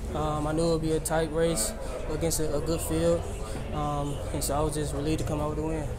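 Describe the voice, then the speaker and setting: A man with an American accent at a very fast pace over loud background noise. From United States. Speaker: sprinter. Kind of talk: interview answer. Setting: trackside after a race. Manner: soft-spoken. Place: tent. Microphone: phone near.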